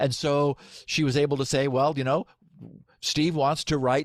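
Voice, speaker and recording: A man with a General American accent talks in an ordinary speaking voice, fairly high-pitched, at a fairly quick pace with fairly even intonation. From Southern California. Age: 60s. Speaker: software engineer and podcaster. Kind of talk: podcast interview.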